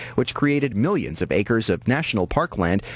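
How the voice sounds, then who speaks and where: Talking at a very fast pace, a man speaks with vocal fry. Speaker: radio news anchor. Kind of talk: radio newscast delivery. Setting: radio station broadcast.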